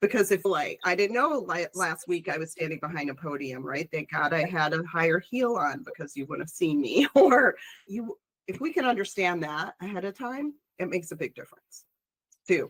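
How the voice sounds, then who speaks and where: Animated and at a moderate pace, a woman with a Chicago accent uses a fairly low pitch and very wide pitch swings, heard in a dry, close sound with no echo. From Chicago, US Midwest. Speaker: public speaker, industry professional. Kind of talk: casual chat.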